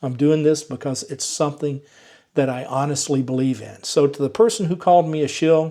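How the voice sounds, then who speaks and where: In a very clean recording with a silent background, a man with a slight Southern US accent talks fairly quickly in a fairly high voice with a dark, mellow tone and ordinary pitch variation. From US South, Georgia. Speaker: EV YouTuber. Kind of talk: vlog monologue to viewers.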